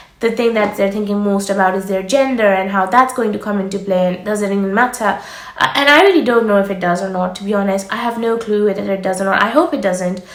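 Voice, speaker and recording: Over noticeable background noise and audible room echo, a woman speaks at a very fast pace with ordinary pitch variation. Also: hardly any pauses. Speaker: doctor and medical careers youtuber. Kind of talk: advice vlog. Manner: fast-paced.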